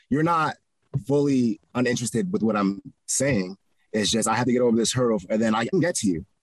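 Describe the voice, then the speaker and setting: A man with an American accent talks at a fairly quick clip in an ordinary speaking voice, medium in pitch, with lively intonation and very even loudness. The sound is dry and close, with no echo. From Connecticut. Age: 20s. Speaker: real estate investor. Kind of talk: interview. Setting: outdoors in a park.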